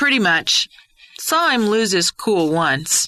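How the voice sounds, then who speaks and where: A female-sounding voice puts on a character voice at a medium pitch. It moves at a fairly slow pace with very wide pitch swings. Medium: read story. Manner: casual, friendly.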